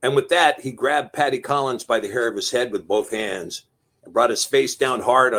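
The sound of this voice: An unforced reading voice comes through with a quiet background behind it.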